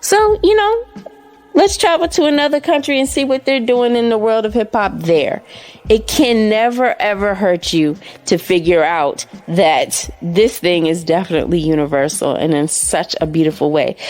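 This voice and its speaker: Very wide pitch swings and an animated tone mark this voice, which moves at a moderate pace. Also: woman, medium pitch for a woman. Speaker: radio show co-host. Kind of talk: radio segment monologue.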